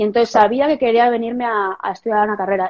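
Fairly quick and fairly even in intonation, a woman talks with an unremarkable speaking voice at a fairly high pitch. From Spain, Galicia (Santiago de Compostela). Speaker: professional golfer. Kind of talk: casual interview. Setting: Instagram live video call.

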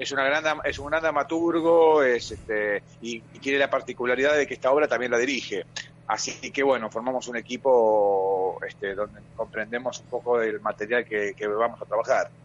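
This is a man with an unremarkable speaking voice at a medium pitch. He keeps a moderate pace with ordinary pitch variation. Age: 40s. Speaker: stage actor. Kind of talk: radio interview.

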